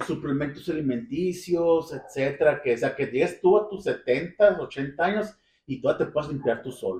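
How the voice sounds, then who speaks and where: Lively intonation marks this man's unremarkable speaking voice, pitched fairly high. He talks at a fairly slow pace. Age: 40s. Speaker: podcast host. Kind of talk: casual chat.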